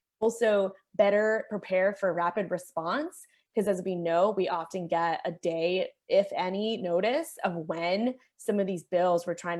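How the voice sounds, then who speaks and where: A woman's unremarkable speaking voice, medium in pitch with ordinary pitch variation, at a fairly slow pace over a quiet background. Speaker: policy advocate. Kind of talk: panel presentation.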